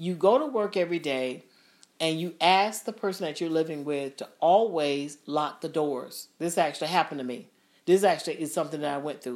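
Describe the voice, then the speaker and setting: This woman has a plain, everyday voice, fairly low in pitch, moving at a fairly quick pace with ordinary pitch variation. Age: 50s. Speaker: podcast host. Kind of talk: casual chat.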